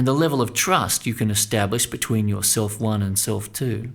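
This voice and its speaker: On a very clean recording with a silent background, a man talks at a fairly quick pace and medium pitch in a plain, everyday voice with ordinary pitch variation. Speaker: mental coach and sports psychology narrator. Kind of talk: instructional audio coaching narration.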